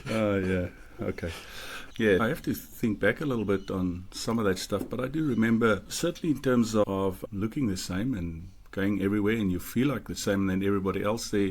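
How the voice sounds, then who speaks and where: In a South African accent, a man talks at a fairly quick pace. His voice is fairly low with ordinary pitch variation. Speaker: podcast co-host. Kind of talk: casual chat.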